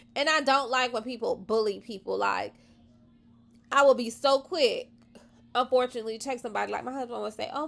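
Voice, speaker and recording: In a very clean recording with a silent background, a woman with an American accent speaks at a high pitch with ordinary pitch variation. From Florida. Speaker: vlogger. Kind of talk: casual chat. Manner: animated.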